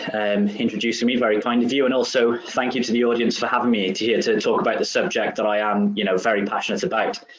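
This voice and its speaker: Very fast speech from a man amid noticeable background noise and audible room echo. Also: hardly any pauses, very even loudness. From Wales, south. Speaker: head of wellbeing, presenter. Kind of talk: webinar presentation. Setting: webinar.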